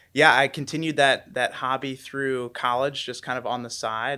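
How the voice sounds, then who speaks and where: In a very clean recording with a silent background, a man speaks at a fairly quick pace in a bright, sharp tone with monotone, flat intonation. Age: 20s. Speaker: content creator. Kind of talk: podcast interview.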